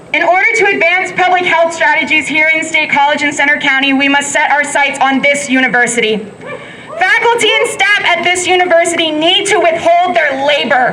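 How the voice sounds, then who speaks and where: A woman speaks at an extremely high pitch in a raised, projected voice, her intonation lively and her pace fairly quick. Her loudness stays very even, with audible room echo and noticeable background noise around her. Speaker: protest speaker, frontline worker. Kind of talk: protest speech.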